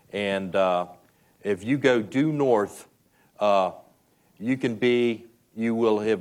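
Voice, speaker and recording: Ordinary pitch variation runs through this man's medium-pitched voice. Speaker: festival storytelling session host/moderator. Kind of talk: moderator interview in front of an audience.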